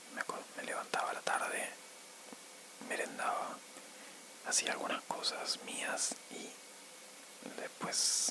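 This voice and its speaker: A man with an Argentine accent whispers at a fairly slow pace over noticeable background noise. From Argentina. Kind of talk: ASMR storytime. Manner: whispered, soft-spoken.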